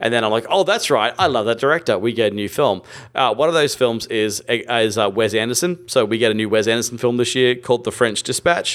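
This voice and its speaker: A man with an Australian accent at a medium pitch and a fairly quick pace, with ordinary pitch variation and hardly any pauses. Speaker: film podcast host. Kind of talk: casual chat.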